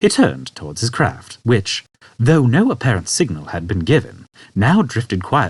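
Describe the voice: The clip is plain reading aloud. Nothing else stands out in the delivery.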